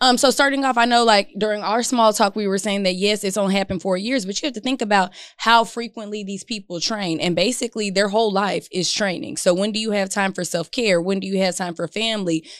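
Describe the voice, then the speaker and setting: A woman's medium-pitched, very fast speech with hardly any pauses. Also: ordinary pitch variation. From Louisiana. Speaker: therapist. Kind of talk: casual chat.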